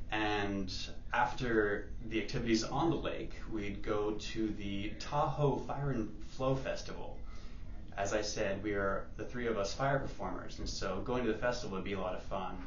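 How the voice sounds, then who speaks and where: A man talks at a fairly low pitch and a moderate pace, with ordinary pitch variation. Light background noise and audible room echo are present. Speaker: fire performer. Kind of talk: contest video submission. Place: hall. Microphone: camera far.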